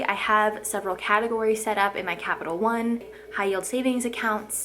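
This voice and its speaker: At a fairly quick pace, a woman speaks with a fairly high pitch and fairly even intonation amid noticeable background noise. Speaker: lifestyle vlogger. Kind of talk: casual vlog talk to camera. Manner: fast.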